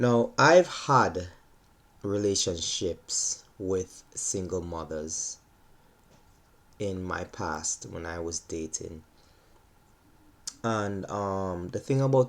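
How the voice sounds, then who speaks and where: This man's voice sits at a fairly low pitch. His intonation is lively. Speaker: vlogger, gymnastics coach. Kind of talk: monologue vlog. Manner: slow, deliberate.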